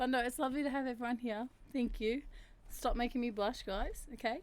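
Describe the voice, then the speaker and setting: With a New Zealand accent, a woman speaks at a high pitch with ordinary pitch variation. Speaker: streamer. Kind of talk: casual chat. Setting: livestream.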